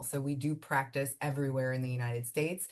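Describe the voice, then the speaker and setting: Her pitch sits very deep and low for a woman, and her intonation stays mostly level. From Miami, Florida (Cuban American family). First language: Spanish. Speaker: immigration attorney and law firm owner. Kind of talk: interview. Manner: casual, conversational.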